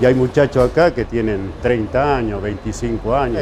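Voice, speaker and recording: A man at medium pitch with ordinary pitch variation, moderate pace, and music playing behind him. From Argentine interior. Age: 60s. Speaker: pizzeria worker. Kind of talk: interview.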